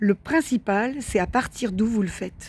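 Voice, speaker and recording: Her pitch varies in an ordinary way as this woman speaks. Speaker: spiritual wellbeing video host. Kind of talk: monologue to camera, spiritual advice. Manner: hesitant, many fillers and repetitions.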